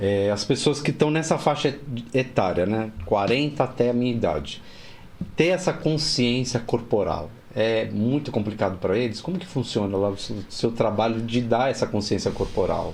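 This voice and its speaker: A man's ordinary speaking voice at medium pitch, with lively intonation and a moderate pace. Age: 60s. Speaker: interviewer, talk show host. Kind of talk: interview conversation.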